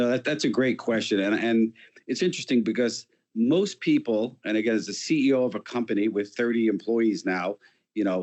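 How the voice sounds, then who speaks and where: Very even loudness at a fairly quick pace, with ordinary pitch variation. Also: man, medium pitch for a man. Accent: New York. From New York City. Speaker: company founder and CEO. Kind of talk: interview.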